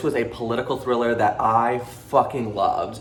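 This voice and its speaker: Amid noticeable background noise and audible room echo, a man speaks at a medium pitch in an animated tone. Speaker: booktuber. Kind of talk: casual book review vlog. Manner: fast.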